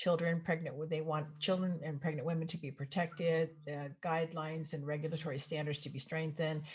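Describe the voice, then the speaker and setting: A woman's very deep, low voice, somewhat breathy, monotone and flat, at a fairly quick pace with hardly any pauses. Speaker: health educator. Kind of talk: presentation. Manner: fast.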